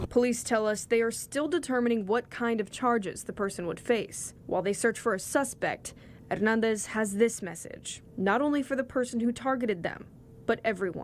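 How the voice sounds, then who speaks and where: Delivered at a moderate pace, the speech comes in an ordinary speaking voice with ordinary pitch variation. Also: woman, fairly high pitch for a woman. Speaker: TV news reporter. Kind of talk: TV news report.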